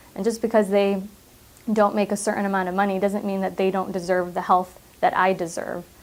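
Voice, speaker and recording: A woman with a Midwestern American accent speaks fairly quickly at medium pitch in a flat monotone. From US Midwest, Michigan. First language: Arabic. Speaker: public health clinic director. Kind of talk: interview monologue.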